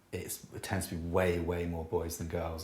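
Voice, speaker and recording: Somewhat breathy and very deep, low-pitched, a man talks at a moderate pace amid audible room echo. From Scotland. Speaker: jazz double bassist. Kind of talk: casual interview chat.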